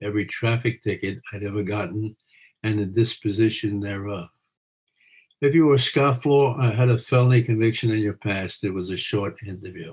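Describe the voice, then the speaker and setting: At a moderate pace, a man speaks with a fairly low pitch, ordinary pitch variation and a somewhat breathy quality. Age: 80s+. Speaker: retired police officer, criminal defense lawyer. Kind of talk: memoir reading.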